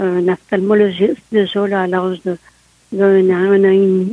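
A woman speaks at a very slow pace in a medium pitch. Her tone is dark and mellow, and the sound is dry and close, with no echo. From Quebec, Côte-de-Beaupré near Quebec City. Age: 60s. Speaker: interviewee with visual impairment. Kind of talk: interview.

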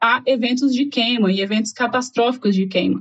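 A woman's high-pitched voice moves with ordinary pitch variation. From Goiás interior, Brazil. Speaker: biologist. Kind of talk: casual chat.

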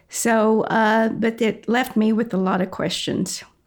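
In an American accent, a woman speaks very slowly at a medium pitch with vocal fry. The recording is very clean, with a silent background. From Texas. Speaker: interviewee sharing family story. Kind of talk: testimony.

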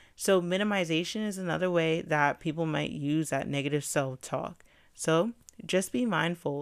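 On a very clean recording with a silent background, a woman with a fairly low pitch uses an ordinary speaking voice at a moderate pace with ordinary pitch variation. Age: 20s. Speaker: podcast host, counselor in training. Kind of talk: solo podcast monologue on mental health. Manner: casual, conversational.

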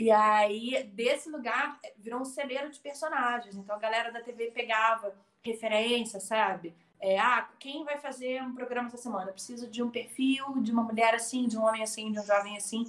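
A woman's fairly high voice at a moderate pace, fairly even in intonation, with big swings in loudness. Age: 40s. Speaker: meditation teacher. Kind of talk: casual chat. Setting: live stream. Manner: talkative.

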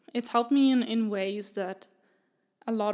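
A plain, everyday voice from a woman, fairly even in intonation, at a moderate pace, on a very clean recording with a silent background. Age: 20s. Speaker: singer-songwriter and producer. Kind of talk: casual chat.

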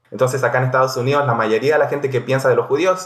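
This man speaks at a fairly high pitch. His intonation is fairly even. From Chile and Israel. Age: 30s. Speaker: podcast guest, former soldier. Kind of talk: casual chat. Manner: halting.

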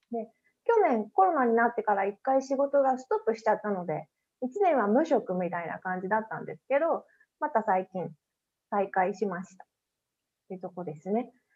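Using a plain, everyday voice, a woman with a fairly high pitch speaks at a moderate pace, her intonation lively and her loudness swinging widely. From Japan, Hiroshima Prefecture countryside. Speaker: podcast interview guest. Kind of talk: casual interview chat. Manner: casual, frequent fillers.

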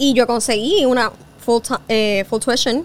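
Over noticeable background noise, a woman with a Puerto Rican accent talks at a fairly high pitch with ordinary pitch variation. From Puerto Rico. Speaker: journalist and podcast host. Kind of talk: interview conversation.

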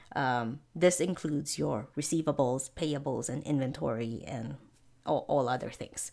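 A woman speaks slowly, at a fairly slow pace, in a very deep, low pitch with a dark, mellow tone and vocal fry. Her pitch varies in an ordinary way on a very clean recording with a silent background. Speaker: accounting tutor and podcast host. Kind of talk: educational podcast lecture.

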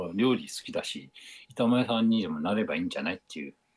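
With vocal fry and lively intonation, a man speaks at a medium pitch in a dry, close sound with no echo. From Japan, Aomori. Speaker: amateur runner and tempura chef. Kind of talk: casual interview. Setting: video call.

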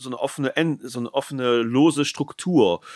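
Heard in a very clean recording with a silent background and a dry, close sound with no echo, a man with an ordinary speaking voice talks at a fairly quick pace, medium in pitch with ordinary pitch variation. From northern Germany. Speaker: podcast host and writer. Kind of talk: casual interview.

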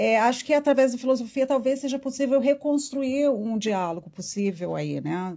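The speaker has a Brazilian accent. There are hardly any pauses. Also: moderate pace. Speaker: philosopher and professor. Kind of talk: casual interview chat.

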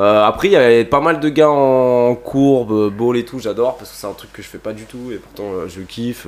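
A man's unremarkable speaking voice, medium in pitch, with ordinary pitch variation and a fairly quick pace. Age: 20s. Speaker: skate shop employee and skateboarder. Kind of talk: casual chat.

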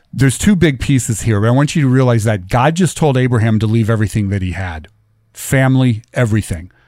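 With lively intonation, a man speaks at a moderate pace in a normal speaking voice on a very clean recording with a silent background. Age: 50s. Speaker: radio talk show host. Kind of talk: political talk radio monologue. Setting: radio studio.

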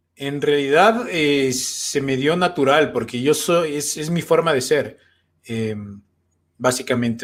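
At a fairly slow pace, a man with a normal speaking voice talks at fairly high pitch with ordinary pitch variation. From Ecuador. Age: 30s. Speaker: comedian. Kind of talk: casual chat.

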